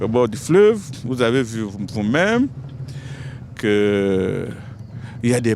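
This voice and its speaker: A man is talking here. Noticeable background noise runs through the clip. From Republic of the Congo, Ngabé district. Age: 60s. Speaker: member of parliament. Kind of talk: interview statement.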